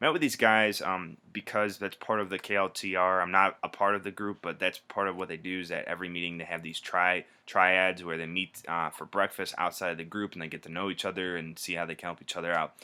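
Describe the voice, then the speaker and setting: On a very clean recording with a silent background, a man with a very deep, low pitch talks at a very fast pace with hardly any pauses. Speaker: video blogger in sales and marketing. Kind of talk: casual video blog monologue. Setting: at home. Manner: animated.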